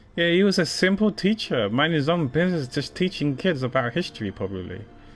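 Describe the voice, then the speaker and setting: With a British accent, a man races along at a very fast pace, his fairly high pitch swinging very widely. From UK. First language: not English. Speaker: game streamer. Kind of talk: casual chat.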